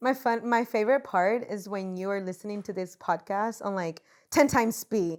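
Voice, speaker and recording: On a very clean recording with a silent background, a woman with a Spanish accent speaks at a medium pitch and moderate pace with ordinary pitch variation. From Puerto Rico. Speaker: podcast co-host, social entrepreneur. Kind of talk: casual chat.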